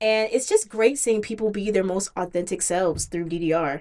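A woman's normal speaking voice with an American accent, medium in pitch with ordinary pitch variation, at a moderate pace. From Virginia, US (Hampton area). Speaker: rhythm game community organizer. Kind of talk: casual podcast chat.

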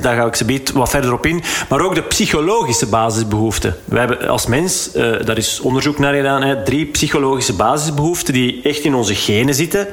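A fairly quick pace with ordinary pitch variation, and noticeable background noise. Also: man. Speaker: podcast host and coach. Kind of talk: interview conversation.

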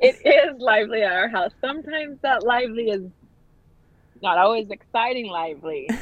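An animated woman with an American accent speaks at a fairly high pitch and moderate pace, her intonation lively. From northern Utah. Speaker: fitness instructor. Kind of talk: casual interview.

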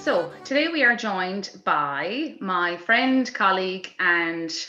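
With an Irish accent, a woman speaks at a medium pitch in a bright, sharp tone. Her intonation is lively. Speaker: podcast host, theatre director and performer. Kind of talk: casual interview chat. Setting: video call.

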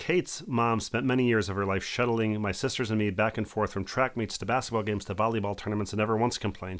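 On a very clean recording with a silent background, a man with an American accent speaks very fast in a fairly low pitch with ordinary pitch variation. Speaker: podcast co-host. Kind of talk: casual chat.

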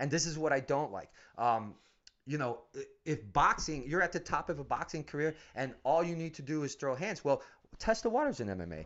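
Someone with an American accent talks at a fairly quick pace in a plain, everyday voice, with lively intonation. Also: man, fairly high pitch for a man. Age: 40s. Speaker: MMA gym owner and coach. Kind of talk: casual interview.

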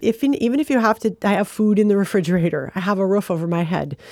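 A woman with an American accent at medium pitch. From Michigan (Flint). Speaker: arts council leader. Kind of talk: interview. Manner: hesitant, many fillers.

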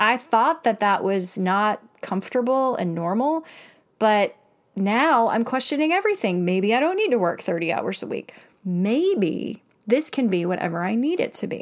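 Animated, fairly high female voice with very wide pitch swings on a very clean recording with a silent background. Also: moderate pace. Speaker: career and life coach, podcast host. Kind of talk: solo motivational podcast talk.

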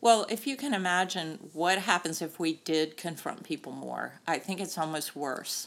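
A woman with an American accent and a fairly low pitch, lively intonation, vocal fry, a moderate pace, hardly any pauses, and a very clean recording with a silent background. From US South, North Carolina. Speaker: sports tech executive and board member. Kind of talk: interview.

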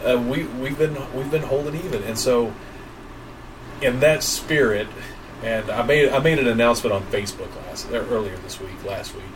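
A man speaks at a medium pitch and a moderate pace, with ordinary pitch variation and big swings in loudness. Audible room echo and noticeable background noise surround him. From East Tennessee (Johnson City). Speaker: podcast co-host, video producer. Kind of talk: casual live chat.

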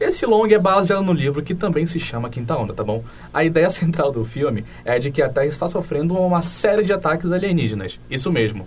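A man's fairly high, lively voice amid audible room echo and noticeable background noise. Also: fairly quick pace. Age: 20s. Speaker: student podcast host. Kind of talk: casual podcast hosting. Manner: animated.

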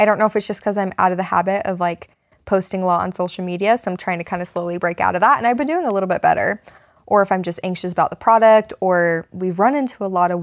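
A woman speaks at a medium pitch with ordinary pitch variation. It is an ordinary speaking voice. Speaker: podcast host. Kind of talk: casual chat. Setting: basement home recording.

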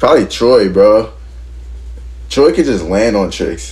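There is audible room echo as a man with a very deep, low pitch speaks with an American accent. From Philadelphia area, US. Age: 20s. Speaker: professional skateboarder. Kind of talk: casual interview chat.

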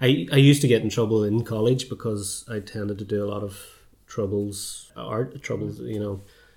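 With a Belfast accent, a man talks in a fairly low, somewhat breathy voice whose loudness swings widely. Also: fairly even intonation, fairly quick pace. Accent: Belfast Northern Irish. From Northern Ireland, North Belfast. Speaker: filmmaker. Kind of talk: casual chat.

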